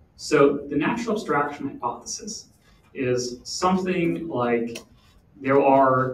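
A man with audible room echo and light background noise. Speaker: conference panelist. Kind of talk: panel Q&A explanation. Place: meeting room.

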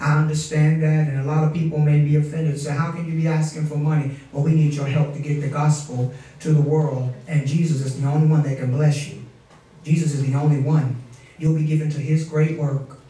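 A man at a fairly quick pace, monotone and flat in intonation, with audible room echo. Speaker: pastor. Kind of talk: sermon. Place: church.

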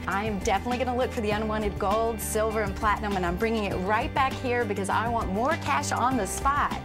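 With clear music in the background, a woman speaks at a very fast pace with hardly any pauses and very even loudness. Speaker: actress. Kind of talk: infomercial host read. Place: shop.

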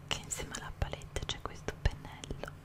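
Whispering at a fairly quick pace, the woman is soft-spoken. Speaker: makeup reviewer. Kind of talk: casual product review chat. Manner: soft close-mic whisper. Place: home room. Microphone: studio mic.

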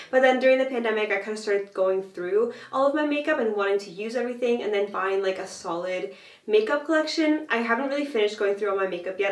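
Audible room echo surrounds a woman who talks at a very fast pace with hardly any pauses. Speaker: fashion and vintage blogger. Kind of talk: casual talk to camera. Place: bathroom.

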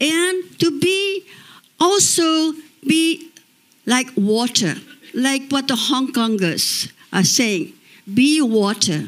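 With a Cambodian accent, a woman speaks in a high pitch at a very slow pace, her pitch swinging very widely while her loudness stays very even, with long, frequent pauses. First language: Khmer. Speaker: exiled opposition politician. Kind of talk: panel discussion. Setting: stage with audience. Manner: passionate. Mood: earnest, advocating. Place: stage. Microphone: handheld.

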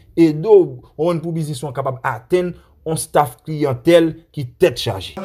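A somewhat breathy man at a fairly slow pace with ordinary pitch variation. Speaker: Haitian news commentator. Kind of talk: news commentary. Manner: animated.

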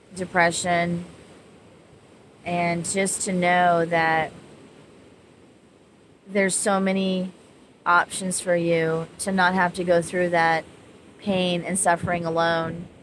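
Very slowly and with long, frequent pauses, a woman speaks in a monotone, flat way over light background noise. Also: dry sound with no echo. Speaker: spiritual counselor vlogger. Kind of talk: casual vlog chat. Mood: calm, gentle, reflective. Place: beach. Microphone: phone near.

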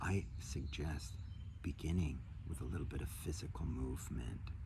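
Noticeable background noise runs under a man talking at a moderate speed. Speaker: health coach. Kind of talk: guided meditation and talk on energy work. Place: garden. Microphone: phone near.

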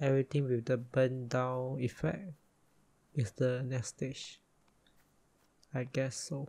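A soft-spoken man whispers at a very slow pace, somewhat breathy, with long, frequent pauses. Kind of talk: ASMR gaming commentary, casual talk to camera. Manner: soft-spoken, whispered.

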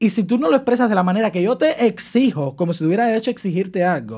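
A man speaks at a fairly quick pace in a quiet background. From Cuba. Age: 20s. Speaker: social media comedian; podcast guest, content creator. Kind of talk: interview. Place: studio. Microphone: studio mic.

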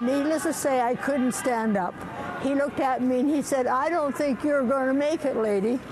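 A woman at a moderate pace with ordinary pitch variation, over noticeable background noise. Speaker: curler. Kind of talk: interview answer. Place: stadium. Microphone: phone near.

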